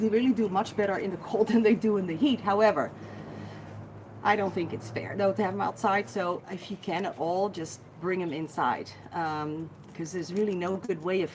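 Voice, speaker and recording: A woman with a Dutch accent talks at a medium pitch and a moderate pace, her tone animated and her pitch varying in an ordinary way. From Netherlands. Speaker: guinea pig rescuer and care expert. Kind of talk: live Q&A stream.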